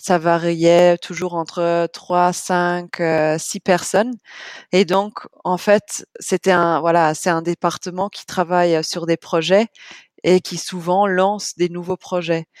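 The sound is dry and close, with no echo. A woman talks at a fairly low pitch in a monotone, flat way. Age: 30s. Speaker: bank sustainability manager. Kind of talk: interview. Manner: halting, many fillers.

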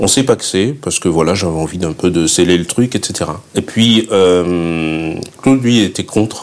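Noticeable background noise sits behind a man with a very deep, low voice. He speaks at a very slow pace with lively intonation. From southern France, Fréjus. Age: 50s. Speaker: guest-house owner. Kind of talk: interview. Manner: hesitant, with repetitions.

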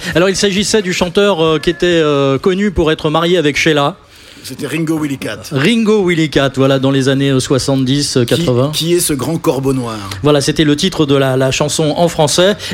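A man talks at a moderate pace and a fairly high pitch, with ordinary pitch variation and noticeable noise in the background. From Paris region (Boulogne-Billancourt). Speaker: radio host. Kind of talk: live radio show.

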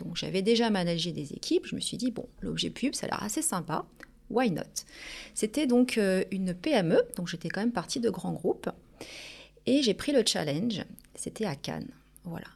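On a very clean recording with a silent background, a woman speaks. Her pitch swings very widely, with long, frequent pauses. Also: medium pitch for a woman, moderate pace. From Paris region, Portuguese family. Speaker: business owner. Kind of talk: interview.

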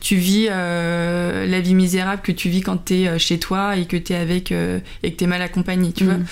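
At a moderate pace, a woman speaks in a fairly low pitch with monotone, flat intonation and very even loudness. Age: 40s. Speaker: color designer and video blogger. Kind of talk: casual chat. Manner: hesitant, many fillers.

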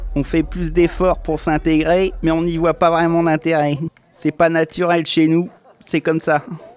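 Over music in the background, a man with a high pitch speaks at a fairly slow pace in a monotone, flat intonation. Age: 30s. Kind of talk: personal testimony.

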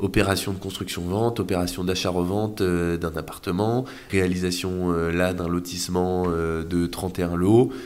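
Very deep, low male voice with fairly even intonation and audible room echo. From France, Orléans area then Brittany. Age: 20s. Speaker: young real estate investor and entrepreneur. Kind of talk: casual interview. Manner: hesitant, many fillers.

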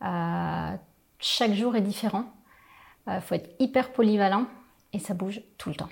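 A woman speaks in a somewhat breathy voice. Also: very clean recording, silent background. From Picardy, northern France. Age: 40s. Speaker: business owner, training company founder. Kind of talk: interview. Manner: hesitant, many fillers.

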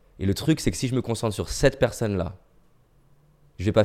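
A man talking at a very fast pace in a very clean recording with a silent background. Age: 30s. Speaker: motivational speaker. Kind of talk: casual chat. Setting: recorded during lockdown.

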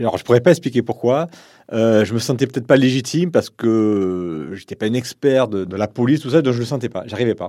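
The voice has a dark, mellow tone and ordinary pitch variation at a fairly quick pace. The recording is very clean, with a silent background. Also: man, medium pitch for a man.

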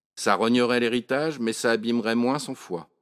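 A man talks in an animated tone at a moderate pace, recorded very cleanly against a silent background with a dry, close sound and no echo. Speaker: author reading own monologue. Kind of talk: dramatic first-person narration of a comic monologue, read aloud with character dialogue. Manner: animated, wry and colloquial, with a storyteller's comic timing; shifts into voices for the characters' dialogue.

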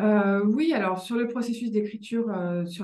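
A woman's somewhat breathy, dark, mellow voice at medium pitch, with audible room echo. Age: 40s. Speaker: author and journalist. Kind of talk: interview conversation.

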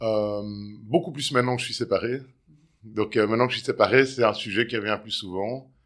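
A man's medium-pitched voice at a moderate pace, fairly even in intonation but with big swings in loudness. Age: 40s. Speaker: separated father. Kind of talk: interview. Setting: at his home. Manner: halting, frequent hesitations.

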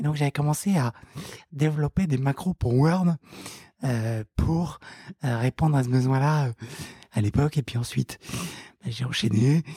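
A man's somewhat breathy voice, dark and mellow in tone, at a fairly slow pace with long, frequent pauses, ordinary pitch variation, and a dry, close sound with no echo. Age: 20s. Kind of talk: interview. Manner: halting, many fillers and repeated words.

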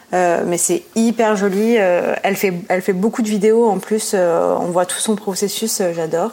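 A woman speaks at a medium pitch with hardly any pauses. Her intonation is fairly even. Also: fairly slow pace. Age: 30s. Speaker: ceramicist and photographer. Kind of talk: interview. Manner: hesitant, many fillers.

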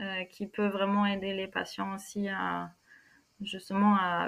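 A woman talks at a very slow pace. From France, Normandy. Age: 20s. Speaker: physiotherapist. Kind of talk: interview. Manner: halting.

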